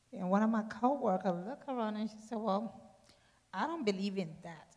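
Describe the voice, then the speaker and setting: A woman talks at a moderate pace with a somewhat breathy voice. Her pitch varies in an ordinary way, while her loudness swings widely. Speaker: congregation member. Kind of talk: testimony. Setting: church.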